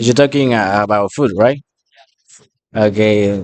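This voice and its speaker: With a Spanish accent, a man speaks at a fairly slow pace in a fairly low pitch. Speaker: restaurant worker interviewed by students. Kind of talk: casual interview. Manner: halting.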